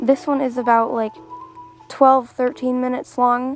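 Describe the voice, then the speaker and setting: With music in the background, a woman talks at a moderate pace in a high voice with ordinary pitch variation. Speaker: artist. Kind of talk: casual art video voiceover.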